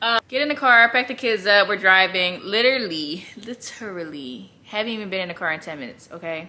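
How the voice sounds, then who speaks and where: The pace of this woman's speech is moderate. She uses lively intonation. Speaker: vlogger. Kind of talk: casual vlog chat. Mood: exasperated, amused. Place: home room. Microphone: phone near.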